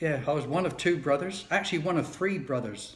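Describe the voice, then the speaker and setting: A man speaks with a British accent and a somewhat breathy voice. His pitch varies in an ordinary way, and room echo is audible. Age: 70s. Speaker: video blogger. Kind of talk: personal monologue. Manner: casual, wry.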